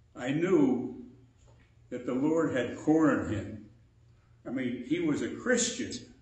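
With audible room echo, a man with a fairly high pitch talks at a very slow pace, his pitch swinging very widely between long, frequent pauses. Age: 80s+. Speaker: preacher. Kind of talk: sermon. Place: church. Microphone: podium.

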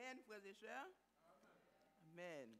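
A man speaks at a very slow pace. Light background noise can be heard. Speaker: service leader. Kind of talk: church service leading. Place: church. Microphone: podium.

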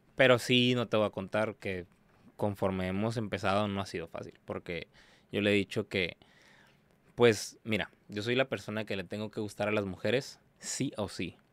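A man with a fairly low pitch and fairly even intonation speaks at a moderate pace, with a dry sound and no echo. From Tijuana, Mexico; Mexico. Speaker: exotic dancer; podcast guest. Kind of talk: casual interview chat. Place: studio. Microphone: studio mic.

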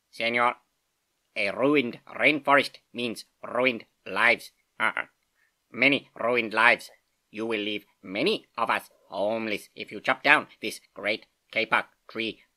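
A man does a squeaky put-on character voice at a medium pitch, leaving long, frequent pauses. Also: fairly slow pace.

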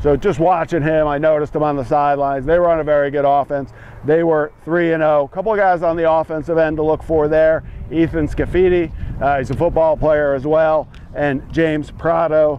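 Delivered at a fairly quick pace in monotone, flat intonation, the voice sounds dry with no echo over light background noise. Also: man. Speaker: lacrosse analyst. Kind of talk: commentary. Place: open country. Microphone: lapel.

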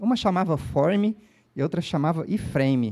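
A man is speaking. His intonation is lively. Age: 40s. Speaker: developer evangelist. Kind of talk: conference talk. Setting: stage with audience. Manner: casual, energetic. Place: stage. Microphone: handheld.

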